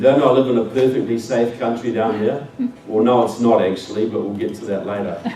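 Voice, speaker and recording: Speaking at a medium pitch with a New Zealand accent, a man is heard with audible room echo and noticeable background noise. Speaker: public speaker. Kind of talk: speech to an audience. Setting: stage with audience.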